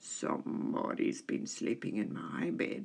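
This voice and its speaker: A put-on character voice growls. It moves at a fairly slow pace. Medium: read story.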